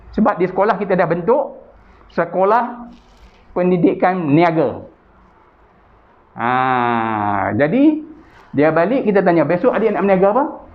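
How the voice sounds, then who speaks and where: A man speaks slowly-ish with long, frequent pauses and very wide pitch swings around a high pitch. Audible room echo surrounds his voice. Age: 60s. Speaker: chairman of a Malay business association. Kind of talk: interview. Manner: hesitant with fillers.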